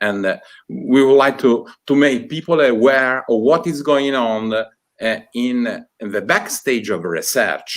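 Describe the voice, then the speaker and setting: A man speaks very slowly with an Italian accent. His pitch varies in an ordinary way. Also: medium pitch for a man. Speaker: university department director. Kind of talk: opening speech. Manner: halting.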